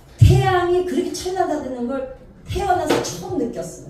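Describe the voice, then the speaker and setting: Her pitch swinging very widely, a woman speaks at a moderate pace amid noticeable background noise and audible room echo. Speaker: gospel singer and counselor. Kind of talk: testimony.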